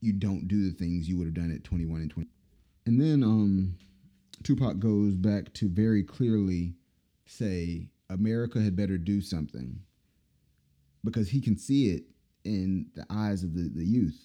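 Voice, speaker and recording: A man's very deep, low voice with a dark, mellow tone, ordinary pitch variation, a moderate pace and long, frequent pauses. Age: 30s. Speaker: podcast host. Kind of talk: casual commentary monologue.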